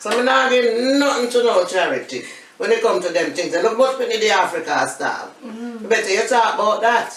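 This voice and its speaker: The speaker has a Jamaican accent and talks at a fairly quick pace with ordinary pitch variation. Noticeable background noise runs underneath. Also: woman, fairly high pitch for a woman. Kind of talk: interview answer. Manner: blunt, outspoken, humorous.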